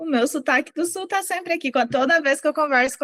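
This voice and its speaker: A woman with a southern Brazilian accent talks at a fairly quick pace with lively intonation, in a dry, close sound with no echo. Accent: southern Brazilian accent, kept. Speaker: psychologist. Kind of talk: interview.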